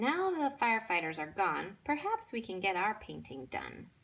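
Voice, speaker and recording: A female-sounding voice puts on a character voice at a fairly high pitch. The pace is moderate. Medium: read story. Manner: upbeat, carefree.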